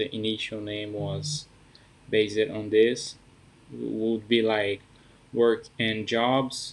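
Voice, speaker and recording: A man with a non-native accent speaks at a very slow pace in a fairly low voice, with long, frequent pauses. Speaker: app founder. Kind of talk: casual project introduction to camera.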